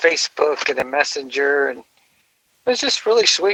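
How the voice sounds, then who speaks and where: A man speaks in a dry, close sound with no echo. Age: 60s. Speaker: comedian. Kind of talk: casual chat.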